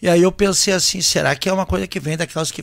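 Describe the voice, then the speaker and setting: A man's high-pitched voice with fairly even intonation, in a very clean recording with a silent background. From Rio Grande do Sul, Brazil (Santa Cruz do Sul). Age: 50s. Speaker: singer and band leader. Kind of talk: casual chat.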